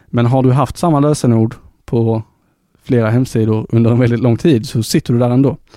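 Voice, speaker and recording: At a moderate pace, a man talks with a medium pitch, a dark, mellow tone and fairly even intonation. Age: 20s. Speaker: tech podcast host. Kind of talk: casual chat. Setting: studio.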